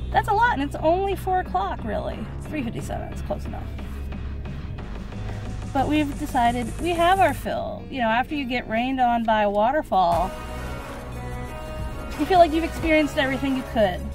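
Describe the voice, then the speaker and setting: Clear music plays behind a woman who speaks at a fairly quick pace in a dry recording with no echo. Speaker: vlogger. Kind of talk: casual vlog chat. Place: car. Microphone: phone near.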